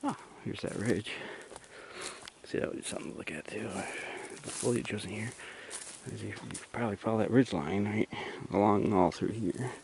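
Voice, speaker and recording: A man speaks at a fairly low pitch and a fairly quick pace, with ordinary pitch variation and big swings in loudness. Long, frequent pauses break it up, and background noise is noticeable. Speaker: hiking vlogger. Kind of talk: casual vlog narration while hiking. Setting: outdoors on a forest trail.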